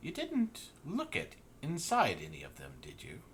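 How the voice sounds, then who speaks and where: A man's put-on character voice at a moderate pace, over clear background noise. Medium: actual play. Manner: bored, curt.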